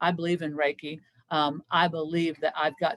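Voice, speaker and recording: In a Kentucky accent, a woman speaks at a fairly quick pace. Her pitch is very deep and low, with monotone, flat intonation. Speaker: senior living care professional. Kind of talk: presentation Q&A. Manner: conversational, many fillers.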